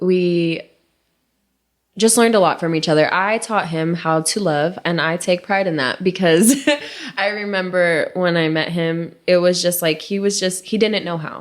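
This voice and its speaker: Her pitch varying in an ordinary way, a woman speaks at a moderate pace. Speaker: podcast co-host. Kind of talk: casual chat. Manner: loud; animated.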